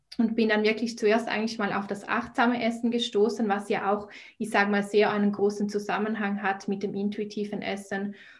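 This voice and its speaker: Speaking at a fairly quick pace in a Swiss German accent, a woman keeps a monotone, flat intonation amid audible room echo. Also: medium pitch for a woman. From Switzerland. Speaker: nutrition and mindset coach. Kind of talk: podcast interview.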